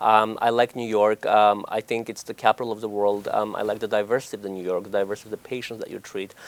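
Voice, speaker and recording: A man with an Armenian accent, fairly low pitch, monotone, flat intonation, and a very fast pace, in a dry, close sound with no echo. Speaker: oncology doctor. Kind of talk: TV interview. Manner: hesitant, many fillers.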